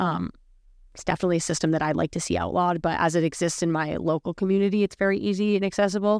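Very fast speech from a woman with a fairly low voice and fairly even intonation, dry and close with no echo, on a very clean recording with a silent background. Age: 20s. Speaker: cannabis educator. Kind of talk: casual chat.

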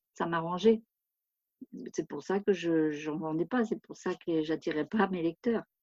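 With a dry, close sound and no echo, a woman speaks at a fairly slow pace with ordinary pitch variation. She takes long, frequent pauses. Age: 60s. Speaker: retired author. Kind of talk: interview. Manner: halting, many hesitations.

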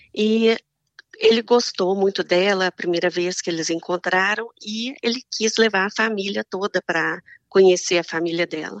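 Her intonation fairly even, a woman speaks in a Minas Gerais accent. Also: medium pitch for a woman, moderate pace, dry, close sound with no echo. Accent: Mineiro Brazilian Portuguese. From Minas Gerais, Brazil. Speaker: Brazilian immigrant wife of an American. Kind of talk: casual interview chat.

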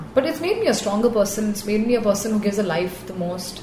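Speech races along at a very fast pace with ordinary pitch variation. Noticeable background noise and audible room echo fill the recording. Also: woman. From India, raised on Air Force bases. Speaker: dentist and motorcycle racer. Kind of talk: interview.

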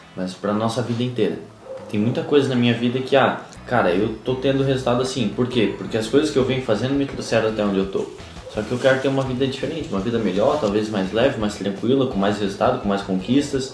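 The speaker talks at a very fast pace with ordinary pitch variation, while noticeable background noise and audible room echo fill the recording. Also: man, medium pitch for a man. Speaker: podcast co-host, coach. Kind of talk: casual chat.

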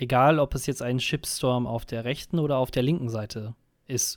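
In a very clean recording with a silent background, a man speaks fairly slowly in a normal speaking voice with ordinary pitch variation. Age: 20s. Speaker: podcast co-host. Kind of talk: casual chat.

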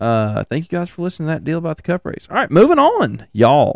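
A voice with a Tennessee accent against a quiet background. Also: man, dry, close sound with no echo. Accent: Southern US (Tennessee). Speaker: racing podcast host. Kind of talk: solo casual commentary. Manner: animated.

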